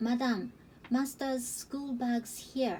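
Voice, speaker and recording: A woman puts on a character voice that is shrill and high-pitched for a woman. Her intonation stays fairly even over clear background noise. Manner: crying out.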